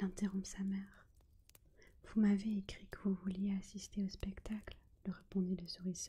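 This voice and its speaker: Soft-spoken delivery at a fairly slow pace. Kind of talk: bedtime story reading (ASMR).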